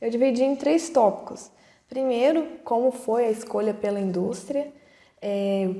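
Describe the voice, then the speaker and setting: A fairly slow pace with ordinary pitch variation. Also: woman. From Brazil, Ouro Preto (Minas Gerais). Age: 20s. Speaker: pharmacist, production supervisor. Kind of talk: online talk to students. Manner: halting, many fillers.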